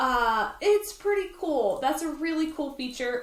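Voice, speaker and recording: A woman with an animated tone and lively intonation comes through audible room echo and noticeable background noise. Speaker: design tutorial creator. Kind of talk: tutorial.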